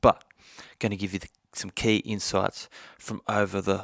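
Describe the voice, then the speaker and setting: A man speaks at a fairly slow pace in a fairly low pitch. The sound is dry and close, with no echo. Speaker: podcast host. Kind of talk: podcast monologue. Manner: halting.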